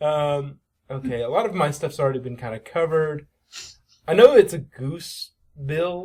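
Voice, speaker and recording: A somewhat breathy man at a fairly high pitch, with ordinary pitch variation, a moderate pace, and long, frequent pauses. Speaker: podcast co-host discussing cartoon episodes. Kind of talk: casual chat.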